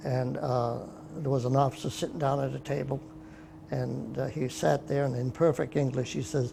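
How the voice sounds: At a moderate pace, a man speaks at a medium pitch with little pitch movement, his dark, mellow tone marked by vocal fry.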